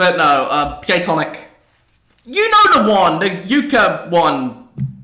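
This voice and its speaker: Raised and projected, a man's high voice moves with lively intonation at a very slow pace. His loudness stays very even, and the room adds audible echo. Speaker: gaming podcast host. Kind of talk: casual chat.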